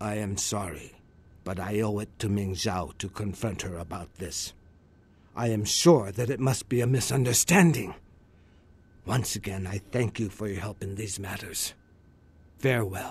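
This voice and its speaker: A man's put-on character voice, fairly low in pitch, with long, frequent pauses and a quiet background. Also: moderate pace. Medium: video game. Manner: polite, formal.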